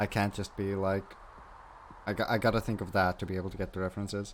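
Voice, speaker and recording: Here a man talks at a fairly quick pace with a non-native accent. His pitch is fairly low. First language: not English. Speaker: gaming streamer. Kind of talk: live gameplay commentary. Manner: casual.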